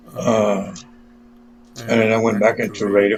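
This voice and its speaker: This man has an American accent and a medium pitch. He talks at a moderate pace over noticeable background noise. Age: 70s. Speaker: internet radio DJ. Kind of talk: interview. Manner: code-switching between English and Spanish.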